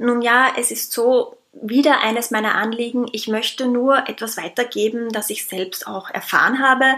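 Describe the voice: This woman's fairly high, fairly bright voice carries a slightly husky edge as she speaks at a fairly slow pace with few pauses and fairly even intonation.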